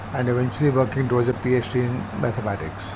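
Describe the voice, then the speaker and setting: Amid noticeable background noise and audible room echo, a man speaks at medium pitch and a moderate pace. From India, Punjab. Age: 70s. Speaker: urban farmer. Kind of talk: interview.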